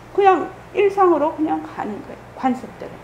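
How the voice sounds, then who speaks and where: A woman with an extremely high pitch speaks at a moderate pace, with very wide pitch swings. Audible room echo and noticeable background noise are present. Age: 60s. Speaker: Buddhist meditation center head teacher. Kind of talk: dharma talk orientation for new members. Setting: temple Sunday service. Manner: casual, conversational.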